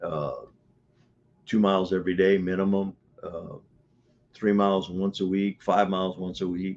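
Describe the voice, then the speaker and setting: Speaking in a Louisiana accent, a man uses a very deep, low pitch with monotone, flat intonation. His pace is moderate, broken by long, frequent pauses. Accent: Southern US, Louisiana. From US South, Louisiana. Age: 70s. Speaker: martial arts coach. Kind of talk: interview. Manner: hesitant, repeats words.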